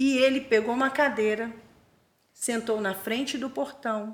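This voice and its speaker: Her pitch is fairly high and her intonation fairly even. This woman talks at a moderate pace. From Rio de Janeiro state, Brazil (Búzios). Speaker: missionary and theological school director. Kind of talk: testimony.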